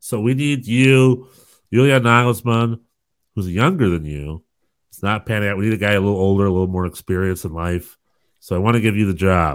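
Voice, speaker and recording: A man talks at a fairly quick pace in a fairly low voice with an animated tone and ordinary pitch variation. The recording is very clean, with a silent background. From US South. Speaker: soccer podcast co-host. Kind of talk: casual chat.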